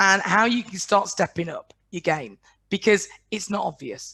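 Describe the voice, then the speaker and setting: A woman talks at a fairly slow pace with a northern English accent. Her tone is bright and sharp, and her intonation is lively. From northwest England. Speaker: business coach. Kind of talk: webinar presentation. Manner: blunt.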